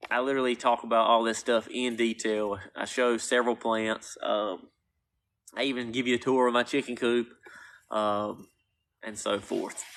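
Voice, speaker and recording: The voice has a North Carolina accent and a flat, monotone intonation. The background is quiet. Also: man, medium pitch for a man, moderate pace. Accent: Southern, North Carolina. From US South, North Carolina. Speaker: gardener and plant seller. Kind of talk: live stream Q&A.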